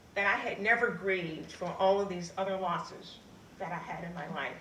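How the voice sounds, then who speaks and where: Amid noticeable background noise and audible room echo, a woman with a medium pitch talks at a moderate pace. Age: 70s. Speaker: storyteller. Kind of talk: live storytelling.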